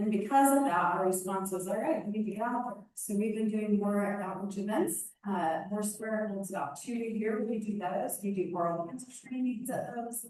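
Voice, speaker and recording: A woman at medium pitch and a moderate pace, with ordinary pitch variation, hardly any pauses and audible room echo. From Indiana. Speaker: nonprofit dental clinic director. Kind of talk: presentation. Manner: loud. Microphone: PA echo feedback.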